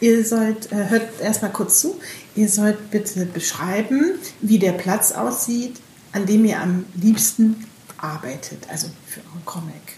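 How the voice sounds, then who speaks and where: With noticeable background noise behind her, a woman talks at a very slow pace in a fairly high pitch with lively intonation. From northern Germany, Bremen. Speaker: podcast host. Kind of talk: casual chat. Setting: book fair.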